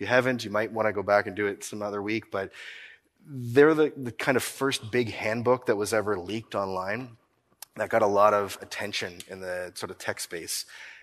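With big swings in loudness, a man talks in a Maritime Canadian accent. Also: fairly low pitch for a man, ordinary pitch variation, moderate pace. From Nova Scotia, Canada. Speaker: accounting firm owner, keynote speaker. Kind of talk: conference keynote talk. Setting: stage with audience. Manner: animated.

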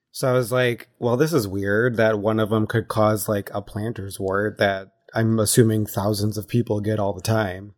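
A man speaks at a moderate pace with hardly any pauses, a fairly low pitch and fairly even intonation. The recording is very clean, with a silent background. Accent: American. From Wisconsin. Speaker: recurring guest, grew up on dairy farm. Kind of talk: casual chat.

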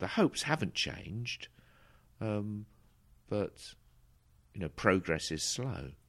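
A man with an Essex accent and fairly low pitch, very wide pitch swings, a very slow pace and long, frequent pauses, on a very clean recording with a silent background. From south Essex, England. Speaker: bishop. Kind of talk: interview. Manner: halting.

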